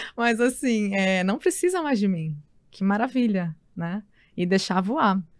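Using an unremarkable speaking voice, a woman talks at a fairly slow pace with a medium pitch and lively intonation. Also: very clean recording, silent background. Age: 30s. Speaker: journalist and wellness entrepreneur. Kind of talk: casual chat.

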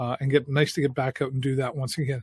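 Speech comes at a very fast pace in a somewhat breathy voice, captured in a very clean, dry, close recording with no echo and a silent background. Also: man. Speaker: community talk show host. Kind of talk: casual interview chat. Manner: animated.

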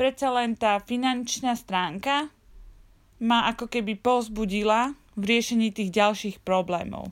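With an ordinary speaking voice, a woman talks at a fairly high pitch and a fairly slow pace, with ordinary pitch variation, on a very clean recording with a silent background. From Slovakia. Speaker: travel podcaster. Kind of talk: personal storytelling monologue.

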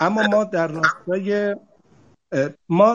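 A man is speaking. His pace is very slow. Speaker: CEO of a bank technology holding. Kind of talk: panel discussion. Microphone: connection dropped.

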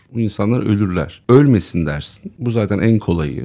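A man has an unremarkable speaking voice, fairly low in pitch. He talks at a moderate pace with lively intonation. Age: 50s. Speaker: co-founder of an online video channel. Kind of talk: casual chat.

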